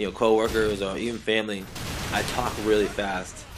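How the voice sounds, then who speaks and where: In an American accent, a man talks fairly quickly at a fairly low pitch. His intonation is monotone and flat, with noticeable background noise behind him. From Boston. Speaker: gaming commentator.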